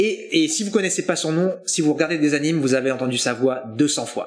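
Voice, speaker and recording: Lively intonation rides on very fast speech. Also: man. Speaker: voice actor. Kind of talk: interview. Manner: hesitant.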